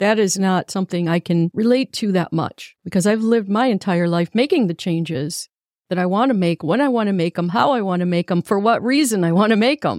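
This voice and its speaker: In an unremarkable speaking voice, a woman talks at a fairly quick pace and medium pitch with ordinary pitch variation and very even loudness, in a very clean recording with a silent background and a dry, close sound with no echo. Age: 60s. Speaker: motivational talk show host. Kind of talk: motivational monologue.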